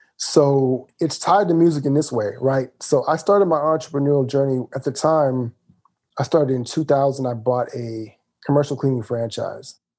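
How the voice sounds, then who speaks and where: At a moderate pace, a man with an American accent speaks in a fairly high, dark, mellow voice with ordinary pitch variation. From US South, rural Mississippi. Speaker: business coach and author. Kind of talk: casual interview.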